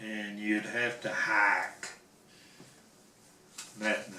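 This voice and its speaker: A man's fairly low voice at a very slow pace, with noticeable background noise. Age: old. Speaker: Korean War veteran. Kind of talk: interview answer.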